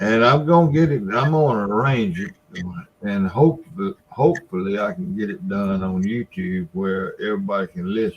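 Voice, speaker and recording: With very wide pitch swings, a man talks at a medium pitch. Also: moderate pace. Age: 70s. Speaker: catfishing livestream host. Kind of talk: casual chat.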